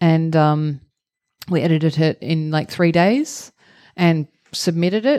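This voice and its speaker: With an Australian accent, a woman speaks slowly in a dark, mellow tone at a fairly low pitch, using ordinary pitch variation, very even loudness and long, frequent pauses. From Australia, rural Victoria. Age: 40s. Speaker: actor and improv performer. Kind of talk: live podcast interview. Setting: theatre stage with live audience.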